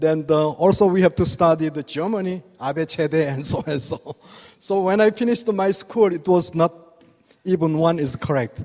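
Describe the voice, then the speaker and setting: A man with a non-native accent, high pitch and ordinary pitch variation, at a moderate pace. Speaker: acupuncture doctor. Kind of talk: lecture. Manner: halting.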